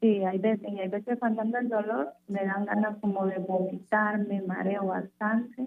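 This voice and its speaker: Using a normal speaking voice, a woman talks at a moderate pace in a medium pitch with fairly even intonation and hardly any pauses. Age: 20s. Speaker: radio caller. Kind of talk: phone consultation. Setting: phone call.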